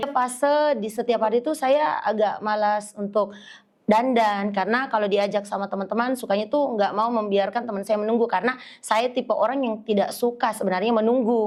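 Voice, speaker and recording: Speaking at a fairly quick pace, a woman keeps a fairly even intonation at a fairly high pitch. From Indonesia, West Sulawesi. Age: young. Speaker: social media influencer. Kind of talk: podcast interview.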